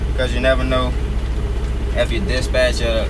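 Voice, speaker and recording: A moderate pace with noticeable background noise. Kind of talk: casual vlog chat. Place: car. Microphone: phone near.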